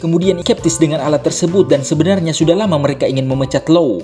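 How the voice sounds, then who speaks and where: A man with a fairly high pitch talks in a playful tone at a very fast pace while music plays in the background. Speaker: voice-over narrator. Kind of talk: comedic movie recap narration. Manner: playful, joking.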